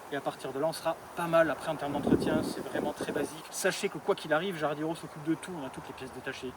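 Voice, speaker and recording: Speaking at a very fast pace, this man holds fairly even intonation over noticeable background noise. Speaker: garden equipment seller. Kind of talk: product demonstration.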